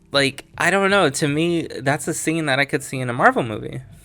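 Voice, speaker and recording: Speech at a moderate pace over music in the background. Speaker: comic book reviewer. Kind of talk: casual talk to camera.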